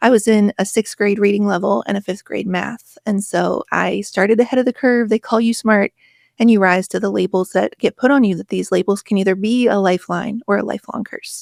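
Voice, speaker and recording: In an American accent, a woman talks at a fairly quick pace with hardly any pauses. Her medium pitch stays fairly even, in a dry, close sound with no echo. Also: very clean recording, silent background. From rural West Virginia. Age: 40s. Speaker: author and podcaster. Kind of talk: interview conversation.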